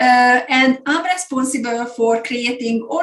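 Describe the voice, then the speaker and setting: A woman with a Hungarian accent speaks at a high pitch with fairly even intonation. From Hungary. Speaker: business coach and consultancy founder. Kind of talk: webinar presentation.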